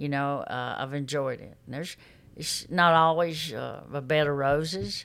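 In an Alabama accent, a woman speaks with a very deep, low pitch, ordinary pitch variation and a moderate pace. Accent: Southern US (Alabama). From Alabama, US South. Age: 60s. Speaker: X-ray tech, recovered addict. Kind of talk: testimony.

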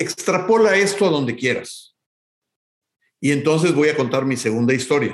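At a moderate pace with long, frequent pauses, a man with a fairly high pitch uses lively intonation and very even loudness. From Mexico City. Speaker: music academy executive. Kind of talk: interview.

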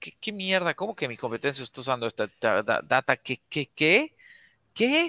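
The voice has a bright, sharp tone and very wide pitch swings at a moderate pace. The sound is dry and close, with no echo. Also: man. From Bolivia. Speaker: sales company founder. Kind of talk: webinar interview. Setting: online livestream.

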